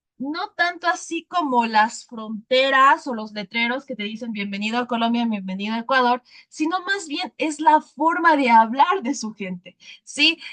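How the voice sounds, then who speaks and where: A woman's high, bright, sharp voice with big swings in loudness, at a fairly slow pace in a dry, close sound with no echo. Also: lively intonation. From Ecuadorian highlands (Sierra). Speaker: teacher. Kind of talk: lecture.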